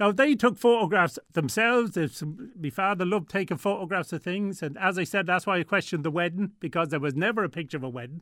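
In an Irish Midlands accent, a man talks very fast with hardly any pauses, his high voice full of lively intonation. The recording is very clean, with a silent background. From Ireland, Tullamore, County Offaly. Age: 60s. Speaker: guest sharing family story. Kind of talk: radio interview. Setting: studio.

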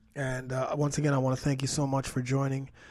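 Somewhat breathy and dark, mellow in tone, a man speaks at medium pitch with a Canadian accent. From Toronto, Canada. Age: 40s. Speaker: fitness coach and podcast host. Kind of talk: podcast monologue. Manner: animated.

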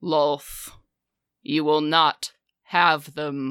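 A booming, put-on character voice sits at a middle pitch. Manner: commanding.

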